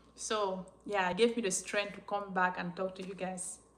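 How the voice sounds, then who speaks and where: At a moderate pace, this voice carries a non-native accent. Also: woman. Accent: noticeable non-native accent in English. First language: French. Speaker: YouTuber sharing life story. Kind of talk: live-stream Q&A chat. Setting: live stream.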